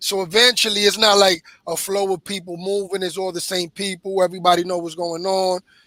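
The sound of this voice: In a dry, close sound with no echo, a man with a high pitch and a bright, sharp tone speaks at a fairly quick pace with little pitch movement.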